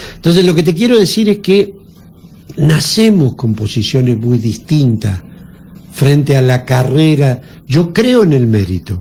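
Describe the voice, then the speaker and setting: A man's fairly high voice, fairly slow, with very wide pitch swings amid noticeable background noise. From Argentina, San Luis (Villa Mercedes). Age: 60s. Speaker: politician. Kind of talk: radio interview.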